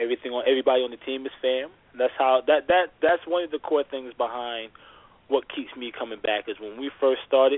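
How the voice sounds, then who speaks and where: In a normal speaking voice, a man talks at a medium pitch and a moderate pace. His intonation is fairly even. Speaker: former tournament basketball player. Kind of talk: casual interview conversation. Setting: phone call.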